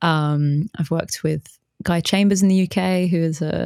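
In a British accent, the voice shows ordinary pitch variation with a dry, close sound and no echo. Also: woman. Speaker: bass player and musician, bass teacher, new podcaster. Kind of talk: casual interview chat.

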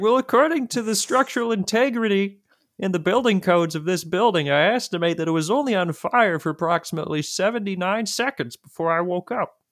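A man puts on a character voice, pitched high and raspy. He talks at a fairly quick clip with hardly any pauses, and the sound is dry and close with no echo.

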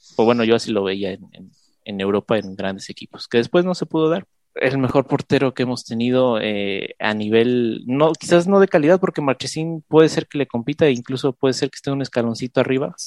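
A plain, everyday voice at a fairly quick pace, with lively intonation, big swings in loudness and a dry, close sound with no echo. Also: man, medium pitch for a man. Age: 20s. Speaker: podcast co-host, football fan. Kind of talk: casual chat.

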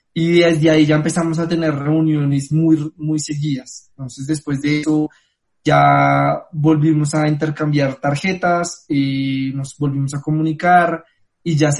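Somewhat breathy and fairly high in pitch, a man talks at a moderate pace in a monotone, flat intonation. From Colombia. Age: 20s. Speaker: travel company founder. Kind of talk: interview.

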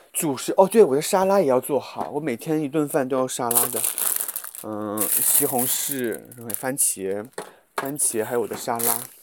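Noticeable background noise sits behind speech at a moderate pace with lively intonation. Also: man, medium pitch for a man. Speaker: podcast host. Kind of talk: casual vlog-style monologue while cooking. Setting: walking outdoors to and from supermarket. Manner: casual, with many fillers. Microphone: muffled by face mask.

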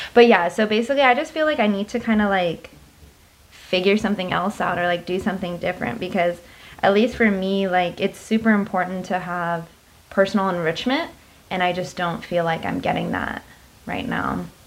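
The speaker has a normal speaking voice, moving at a fairly quick pace with ordinary pitch variation. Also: woman, medium pitch for a woman. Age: 20s. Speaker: podcast co-host. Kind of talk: casual chat.

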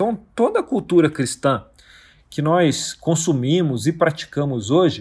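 This man talks at a fairly slow pace in a fairly high pitch that makes very wide swings. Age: 40s. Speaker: podcast host on Bible study. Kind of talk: solo podcast teaching monologue. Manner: casual, with frequent fillers.

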